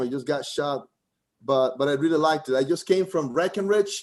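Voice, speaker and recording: A man with a Costa Rican accent and a fairly high pitch. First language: Spanish. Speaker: comedian. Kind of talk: stand-up. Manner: halting.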